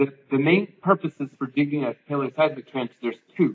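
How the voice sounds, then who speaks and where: Light background noise accompanies a man speaking with ordinary pitch variation. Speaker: lecturer. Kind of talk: lecture. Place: classroom.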